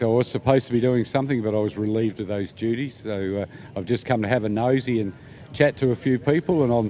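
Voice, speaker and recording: A man's medium-pitched voice with an Australian accent, very fast, with ordinary pitch variation. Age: 60s. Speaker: volunteer motorsport official. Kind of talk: casual interview.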